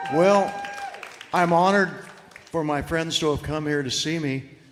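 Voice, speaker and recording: A man with an American accent speaks with fairly even intonation, and audible room echo surrounds his voice. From Florida. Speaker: singer-songwriter. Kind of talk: casual stage chat. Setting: stage with audience.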